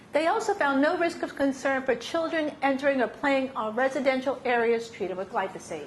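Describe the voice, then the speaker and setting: A woman with a New York accent speaks at a high pitch with lively intonation. Noticeable background noise and audible room echo fill the recording. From New York City. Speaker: science advocacy presenter. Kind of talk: lecture. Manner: fast; animated.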